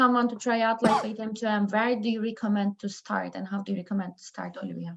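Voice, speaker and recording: A woman's very fast delivery with fairly even intonation. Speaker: webinar moderator. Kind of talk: moderating Q&A.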